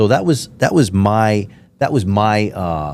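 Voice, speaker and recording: With lively intonation, a man speaks in a fairly low voice with an American accent. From United States. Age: 50s. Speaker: podcast host. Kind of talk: casual interview chat. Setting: studio. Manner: animated.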